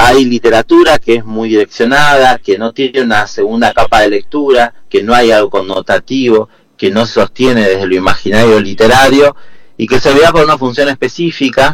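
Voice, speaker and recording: A man with an ordinary speaking voice, medium pitch, ordinary pitch variation and a moderate pace. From Argentina, Neuquén (Patagonia). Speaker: poet and literature teacher. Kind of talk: radio interview.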